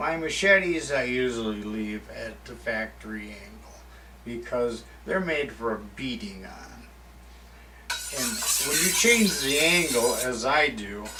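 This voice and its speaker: Heard with noticeable background noise and audible room echo, a man with an American accent talks at a fairly slow pace, with big swings in loudness. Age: 60s. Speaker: woodsman and author. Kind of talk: tutorial. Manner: casual, unscripted one-take talk.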